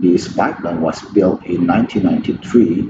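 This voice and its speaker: A man with an Indonesian accent. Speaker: pipeline engineer. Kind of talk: conference presentation. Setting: remote recorded talk. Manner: halting.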